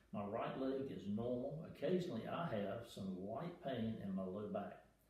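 A man talks at a moderate pace, and there is audible room echo. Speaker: retired airline pilot. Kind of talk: patient testimonial read from notes. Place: home room. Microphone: camera far.

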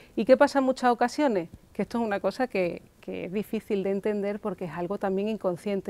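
A woman's dark, mellow tone at a very fast pace, with ordinary pitch variation and a dry sound with no echo. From Spain. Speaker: psychoanalyst; guest. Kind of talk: interview on local TV talk show. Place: studio. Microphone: lapel.

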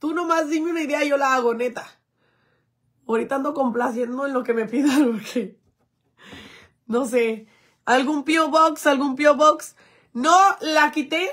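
A woman's high-pitched, animated voice with ordinary pitch variation, a fairly slow pace, long and frequent pauses, and a quiet background. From Mexico, Jalisco. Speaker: influencer; livestreamer. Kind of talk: livestream chat. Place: home room. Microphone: phone near.

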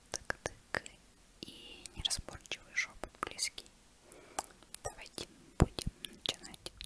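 A woman whispers at a very slow pace. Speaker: ASMR creator. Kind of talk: soft ASMR intro and outro chat. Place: home room. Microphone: earbuds.

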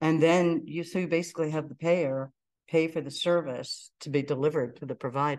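A woman with an American accent and a very deep, low pitch, fairly quick pace, fairly even intonation, big swings in loudness, and a quiet background. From Pittsburgh, US. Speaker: entrepreneur; presenter. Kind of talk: lecture. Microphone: video call.

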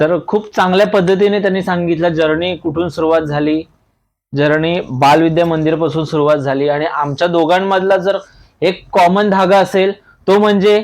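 A high-pitched male voice with fairly even intonation and very even loudness. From Thane, Maharashtra, India. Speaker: YouTube interviewer. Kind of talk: casual interview. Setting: on location.

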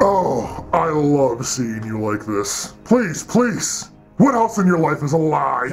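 Clear music plays in the background as the voice moves at a fairly slow pace with very wide pitch swings. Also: man, fairly high pitch for a man. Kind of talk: comic villain acting. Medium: comedy sketch. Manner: taunting, gloating, sarcastic.

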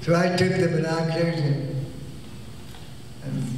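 A high-pitched man with an American accent and fairly even intonation, amid strong room echo and light background noise. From United States. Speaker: stage magician and film actor. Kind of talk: interview answer. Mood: warm, amused storytelling. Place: hall.

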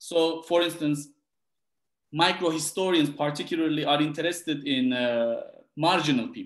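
Against a quiet background with audible room echo, a man with a Turkish accent talks at a moderate pace, his pitch fairly high. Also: ordinary pitch variation. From Turkey, Gaziantep; Turkey. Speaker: historian, book author. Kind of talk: interview about his book. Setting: video call. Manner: halting, many repetitions. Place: home room. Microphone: webcam.

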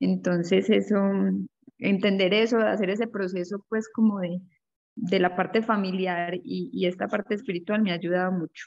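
With fairly even intonation and a moderate pace, a woman talks over a quiet background. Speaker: group participant. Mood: reflective, calm. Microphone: video call.

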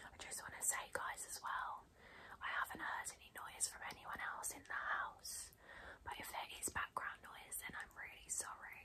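Whispering at a moderate pace, a woman keeps a calm tone. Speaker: beauty blogger / YouTuber. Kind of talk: ASMR unboxing and pamper video, soft-spoken talk to camera. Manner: soft-spoken, calm, relaxing, whispery. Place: home room.

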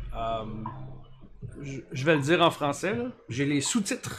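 A man speaks with lively intonation at a fairly high pitch. Light background noise is present. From Quebec, Canada. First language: French. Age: 40s. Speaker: Lego building streamer. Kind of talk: live stream chat while building. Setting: live Twitch stream. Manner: casual, hesitant with fillers. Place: home room.

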